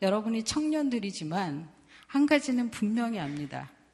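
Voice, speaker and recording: A woman talks fairly slowly, her voice somewhat breathy. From South Korea. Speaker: missionary. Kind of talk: sermon. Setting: church.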